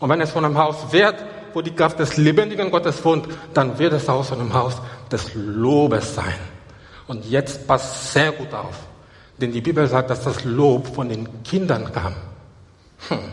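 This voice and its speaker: An animated voice moves at a fairly slow pace with ordinary pitch variation and long, frequent pauses over noticeable background noise. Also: man, fairly high pitch for a man. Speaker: preacher. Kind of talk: sermon to a live congregation, with scripture reading and calls for praise. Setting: church. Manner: animated, urgent and exhortative, with repeated phrases and Hallelujah calls; stop-and-go delivery with repeated words and restarts.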